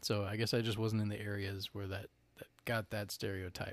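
An American accent comes through. The delivery runs fairly quick. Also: man. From North Carolina. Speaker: podcast host. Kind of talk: casual chat. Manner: animated.

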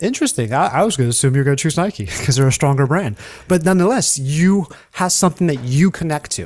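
Somewhat breathy and very fast, a man speaks with lively intonation at a fairly high pitch. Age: 40s. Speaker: content strategist and video producer. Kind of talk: interview conversation. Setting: remote call.

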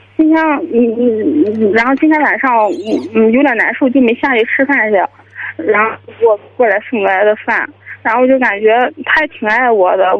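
Amid noticeable background noise, a woman with a fairly high pitch speaks at a moderate pace with ordinary pitch variation and long, frequent pauses. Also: very even loudness. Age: 20s. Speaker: caller, university student. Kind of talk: phone-in advice call.

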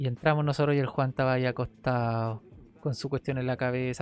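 This man speaks with a Chilean accent. His pitch sits in the medium range. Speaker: podcast host. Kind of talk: casual solo monologue. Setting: his bedroom at home.

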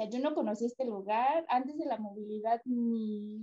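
In a Mexican accent, a woman speaks at a moderate pace with a dark, mellow tone and ordinary pitch variation, in a dry, close sound with no echo. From Mexico. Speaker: travel agency worker, tourism graduate. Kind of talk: casual interview chat.

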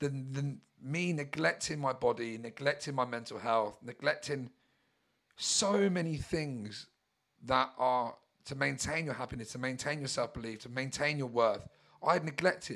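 A man with a southern English accent talks at a moderate pace in a fairly high voice with ordinary pitch variation, on a very clean recording with a silent background. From Brighton, England. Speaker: mindset coach. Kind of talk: personal monologue.

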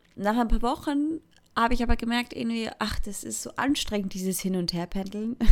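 A woman with a fairly high pitch, a fairly quick pace and ordinary pitch variation. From Switzerland, Thurgau. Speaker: podcaster. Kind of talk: casual monologue. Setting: bedroom.

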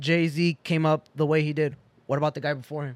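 An ordinary speaking voice from a man with an American accent, fairly high in pitch, at a moderate pace. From Boston. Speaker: DJ. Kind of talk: casual chat. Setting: studio.

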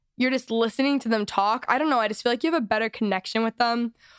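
A woman speaks at a fairly high pitch. The sound is dry and close, with no echo. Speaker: podcast host. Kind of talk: casual chat. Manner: casual, chatty.

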